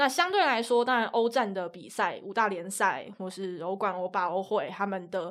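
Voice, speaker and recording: Woman at a medium pitch, ordinary pitch variation, moderate pace with hardly any pauses, very clean recording with a silent background. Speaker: sports commentator. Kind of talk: casual chat.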